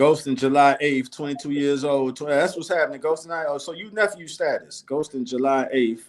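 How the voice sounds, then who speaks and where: Fairly high male voice with a New Orleans accent, fairly quick and with hardly any pauses, ordinary pitch variation. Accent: New Orleans accent picked up. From Florida. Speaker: talk show co-host. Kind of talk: casual chat.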